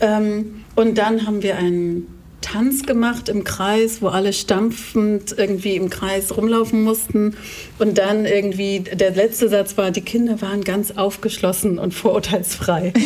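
A woman at medium pitch, monotone and flat, at a fairly slow pace over noticeable background noise. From Germany, partly raised in Kenya. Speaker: anti-racism educator and author. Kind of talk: casual interview conversation.

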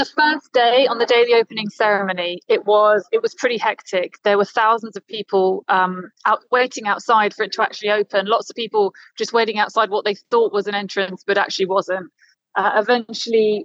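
With a plain, everyday voice, a woman speaks at a fairly high pitch with fairly even intonation in a dry, close sound with no echo. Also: fairly quick pace. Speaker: journalist reporting from Doha. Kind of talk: casual interview chat. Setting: remote interview from Qatar.

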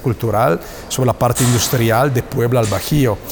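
Moderate pace in an Italian accent, fairly even intonation, and noticeable background noise. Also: man. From northern Italy, Bergamo. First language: Italian (speaking Spanish). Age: 40s. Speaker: plant manager. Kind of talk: interview. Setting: next to a factory floor. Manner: halting.

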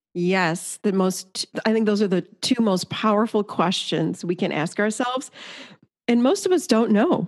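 A woman with an ordinary speaking voice talks at a fairly slow pace, medium in pitch, with ordinary pitch variation and very even loudness. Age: 50s. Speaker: therapist and author. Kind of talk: interview conversation.

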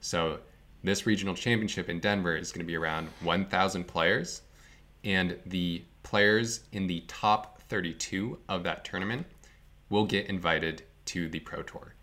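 An American accent marks this man's very deep, low voice, which has ordinary pitch variation and a fairly slow pace. The recording is very clean with a silent background. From US Northeast, northern Vermont. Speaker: competitive card game player. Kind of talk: casual chat.

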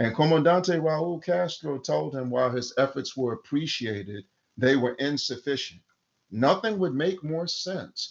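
An ordinary speaking voice from a man, pitched fairly high, with lively intonation at a fairly slow pace. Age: 50s. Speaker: activist. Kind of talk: interview. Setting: remote call.

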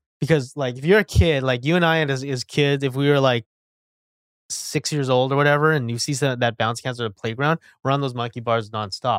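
In a very clean recording with a silent background and a dry, close sound with no echo, a man with a medium pitch and ordinary pitch variation uses an ordinary speaking voice. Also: fairly quick pace. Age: 30s. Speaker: real estate agent and brokerage owner. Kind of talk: casual chat.

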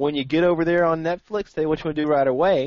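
An ordinary speaking voice from a man, fairly high in pitch, with ordinary pitch variation and a fairly quick pace. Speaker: podcast co-host. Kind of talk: casual chat.

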